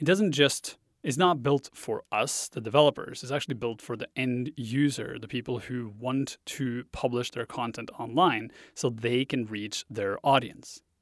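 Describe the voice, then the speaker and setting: A man with a Norwegian accent speaks at a fairly slow pace and medium pitch, with ordinary pitch variation, on a very clean recording with a silent background. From Norway. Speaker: web course instructor and speaker. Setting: Vancouver, Canada.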